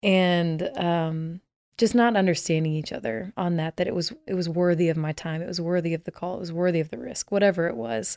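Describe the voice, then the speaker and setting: A woman with an American accent talks at a fairly quick pace in a fairly low register, with ordinary pitch variation and a plain, everyday voice. The recording is very clean, dry and close, with no echo and a silent background. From Texas, Dallas. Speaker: worship leader. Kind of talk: casual interview.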